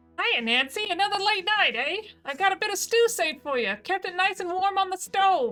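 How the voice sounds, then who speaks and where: At a fairly quick pace, a woman uses a put-on character voice with extremely high pitch. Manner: warm, motherly.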